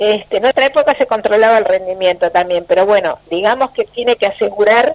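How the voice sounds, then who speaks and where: A woman with a Uruguayan accent speaks at a fairly quick pace and fairly high pitch, her loudness very even. Noticeable background noise is present. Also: ordinary pitch variation. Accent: Uruguayan Spanish (Rioplatense). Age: 60s. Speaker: politician. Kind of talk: radio interview.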